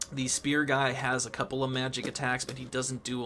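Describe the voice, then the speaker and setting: A man with a medium-pitched, bright, sharp voice speaks at a moderate pace in a monotone, flat delivery. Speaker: gaming YouTuber. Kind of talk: gameplay commentary. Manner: casual, many fillers.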